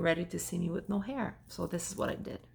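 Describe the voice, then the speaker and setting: A woman speaks with a French accent at a moderate pace. Her fairly low voice carries vocal fry. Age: 40s. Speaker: vlogger. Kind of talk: personal testimony vlog. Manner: halting, with fillers.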